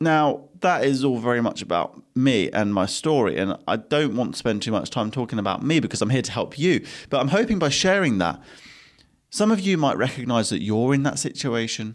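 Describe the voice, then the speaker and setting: A man with an English accent talks at a fairly quick pace, his pitch swinging very widely, on a very clean recording with a silent background. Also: medium pitch for a man. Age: 20s. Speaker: podcast host and business owner. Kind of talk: solo podcast monologue.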